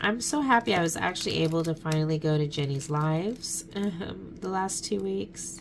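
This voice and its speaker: Soft-spoken, a woman talks at a fairly slow pace with lively intonation and a fairly low pitch. Noticeable background noise and audible room echo come through. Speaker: craft YouTuber. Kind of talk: casual chat.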